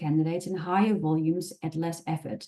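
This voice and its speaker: A woman with a Dutch accent and a dark, mellow tone. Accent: Dutch accent, persistent. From Netherlands. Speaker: recruitment specialist, webinar presenter. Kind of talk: webinar presentation. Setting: online webinar.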